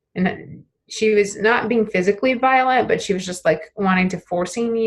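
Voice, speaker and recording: A somewhat breathy woman with ordinary pitch variation. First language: Portuguese. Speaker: therapy trainee acting as client in practice session. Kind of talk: role-play therapy session. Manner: halting, many fillers.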